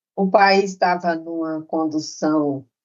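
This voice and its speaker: A woman speaking at a very slow pace. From Brazil, interior of Pernambuco. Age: 70s. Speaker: retired professor and nurse-midwife. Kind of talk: interview conversation.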